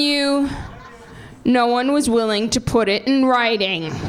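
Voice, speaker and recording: A woman with an American accent at a fairly slow pace, noticeable background noise around her. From New Jersey. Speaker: stand-up comedian. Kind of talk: stand-up.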